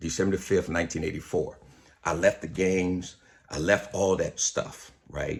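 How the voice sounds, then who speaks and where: Set against a silent background in a very clean recording, a man with a very deep, low, somewhat breathy voice talks at a moderate pace. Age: 60s. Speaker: pastor. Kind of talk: video monologue. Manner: casual, conversational.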